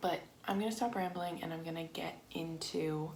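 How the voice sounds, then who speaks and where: A woman with a fairly low pitch is heard through audible room echo, with noticeable background noise behind her. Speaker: lifestyle vlogger. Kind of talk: casual chat. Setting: home craft room. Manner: flat, emotionless when discussing sad topics.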